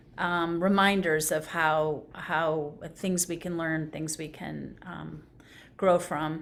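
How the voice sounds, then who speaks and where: A woman with a very deep, low pitch speaks very slowly in a monotone, flat intonation, with big swings in loudness and audible room echo. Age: 60s. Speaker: conversation participant. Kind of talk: reflective conversation. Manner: halting.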